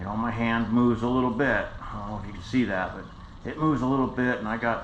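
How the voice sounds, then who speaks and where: With an American accent and a medium pitch, a man speaks over noticeable background noise in audible room echo. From United States. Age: 60s. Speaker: stroke survivor vlogger. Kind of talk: personal story to camera. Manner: halting; casual.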